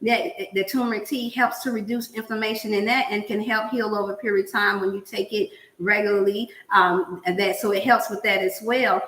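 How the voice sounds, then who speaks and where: Noticeable background noise accompanies a voice with an animated tone. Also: woman, fairly high pitch for a woman, ordinary pitch variation, fairly quick pace. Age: 50s. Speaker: cooking show host. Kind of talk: casual chat.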